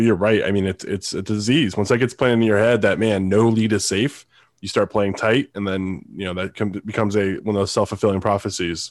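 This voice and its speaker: At a fairly quick pace, a man with a fairly low pitch talks in an ordinary speaking voice with fairly even intonation, recorded very cleanly against a silent background. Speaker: sports podcast co-host. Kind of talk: casual sports talk show.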